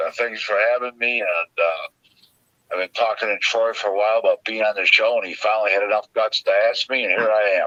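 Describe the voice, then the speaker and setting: In a dry, close recording with no echo, a man speaks at a fairly quick pace. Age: 60s. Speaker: boxing agent and consultant. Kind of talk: interview.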